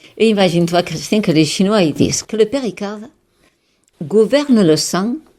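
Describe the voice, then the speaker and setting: At a moderate pace, a woman with a medium pitch and a dark, mellow tone speaks with lively intonation. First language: Catalan (speaking French). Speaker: holistic therapist and author. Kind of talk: radio interview. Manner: animated; halting.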